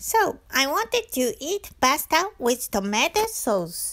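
A woman with a Japanese accent speaks at a high pitch. Her voice makes very wide pitch swings. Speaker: travel vlogger. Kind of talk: scripted-style travel narration.

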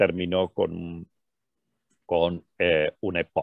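The man's voice has vocal fry. The sound is dry and close with no echo, over a quiet background. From Argentina. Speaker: physician lecturer. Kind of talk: lecture.

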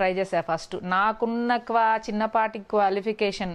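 This woman has a medium-pitched voice. She varies her pitch in an ordinary way. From Andhra Pradesh, Guntur district; Andhra Pradesh. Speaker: actress; actress interviewee. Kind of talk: interview. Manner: clear; bold. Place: home room. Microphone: lapel.

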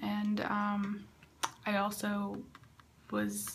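Light noise behind a woman's voice. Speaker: vlogger. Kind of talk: casual vlog chat. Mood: a bit disappointed, frustrated. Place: bathroom. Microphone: phone near.

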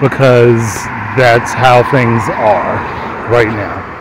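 Recorded dry with no echo and noticeable background noise, a man speaks at a very slow pace. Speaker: podcast host. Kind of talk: personal reflective monologue. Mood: reflective, confessional. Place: street.

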